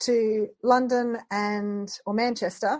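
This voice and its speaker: In a quiet background, a woman talks with an Australian accent. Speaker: podcast host. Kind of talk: podcast interview.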